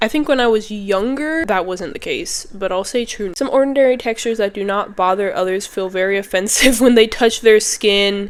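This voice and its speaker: A woman's voice, with ordinary pitch variation, is heard over noticeable background noise. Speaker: YouTuber. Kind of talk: casual vlog talk. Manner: chatty, filler-heavy.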